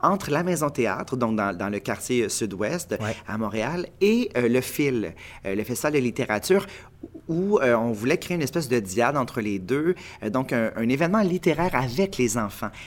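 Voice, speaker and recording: At a moderate pace, a man of medium pitch talks with very wide pitch swings. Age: 30s. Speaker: playwright and actor. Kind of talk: interview.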